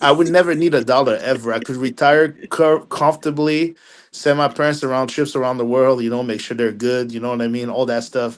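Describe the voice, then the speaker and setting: With a Haitian accent, the speaker talks at a fairly quick pace with fairly even intonation. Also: man, medium pitch for a man. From Quebec, Montreal area, Haitian family. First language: French and Haitian Creole. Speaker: film critic. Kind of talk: podcast interview. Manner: halting, many repeated words; casual.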